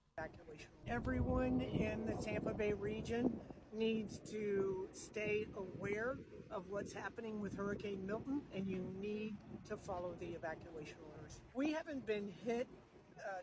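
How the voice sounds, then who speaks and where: Noticeable background noise is present. The speaker goes at a fairly slow pace. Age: 60s. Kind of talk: news interview.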